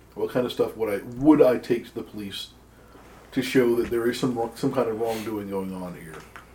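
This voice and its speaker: Over noticeable background noise, a man talks at a moderate pace in a medium pitch, with ordinary pitch variation and big swings in loudness. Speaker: tabletop roleplaying player. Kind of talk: tabletop roleplaying game session, casual banter.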